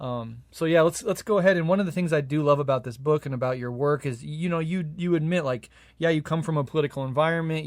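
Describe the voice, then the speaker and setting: A man with an American accent has an unremarkable speaking voice and a fairly high pitch. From USA. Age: 30s. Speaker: podcast host. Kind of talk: interview.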